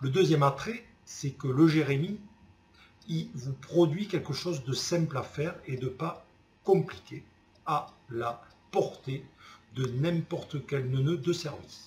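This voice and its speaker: A man with a Toulouse accent, fairly high pitch, ordinary pitch variation, a very slow pace and long, frequent pauses. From Toulouse, southern France. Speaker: customer giving a testimonial. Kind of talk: testimonial. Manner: casual, enthusiastic.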